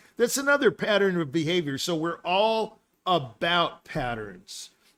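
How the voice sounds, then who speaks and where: Animated and fairly slow, a man with a high voice swings his pitch very widely on a very clean recording with a silent background. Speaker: musician and live show host. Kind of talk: casual chat. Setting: live stream.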